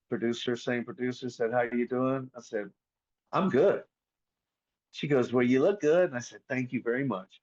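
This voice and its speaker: A man talks at a moderate pace in a Southern US accent, with medium pitch and ordinary pitch variation. He leaves long, frequent pauses. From US South. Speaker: voice actor. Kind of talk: casual chat. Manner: animated.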